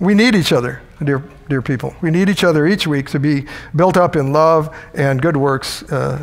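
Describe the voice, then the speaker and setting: Against noticeable background noise and audible room echo, a man talks at a moderate pace with a fairly high pitch and ordinary pitch variation. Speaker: preacher. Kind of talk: sermon. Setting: church.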